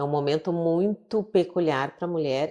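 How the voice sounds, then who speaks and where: A woman speaks at a moderate pace with a dark, mellow tone. Her pitch varies in an ordinary way. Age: 50s. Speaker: psychiatrist. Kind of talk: interview conversation.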